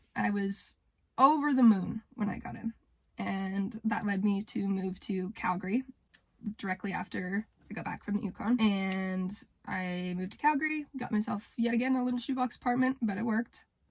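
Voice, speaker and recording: Woman's somewhat breathy voice in a western Canadian accent, medium in pitch with ordinary variation, at a moderate pace. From Canada, rural Alberta. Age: young. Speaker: vlogger. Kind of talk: personal vlog monologue. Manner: hesitant, with filler words.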